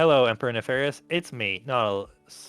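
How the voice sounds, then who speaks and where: Faint music plays in the background as a man puts on a robotic character voice, medium in pitch and fairly quick in pace. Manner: flat.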